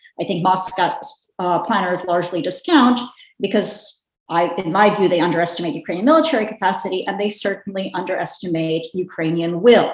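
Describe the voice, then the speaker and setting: A woman with an American accent, medium in pitch, at a fairly quick pace, with ordinary pitch variation. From United States. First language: Russian. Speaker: policy analyst. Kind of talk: panel discussion. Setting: video call.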